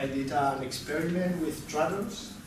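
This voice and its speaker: With a Spanish accent, a man speaks at a fairly slow pace. Noticeable background noise and audible room echo surround him. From Spain. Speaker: lecturer. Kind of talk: lecture. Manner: halting, repeats words.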